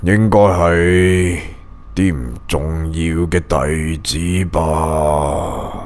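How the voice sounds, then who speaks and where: Someone performs a put-on character voice with fairly even intonation. Clear background noise runs underneath. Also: man, very deep, low pitch for a man. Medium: read story. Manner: polite, smiling, falsely benign.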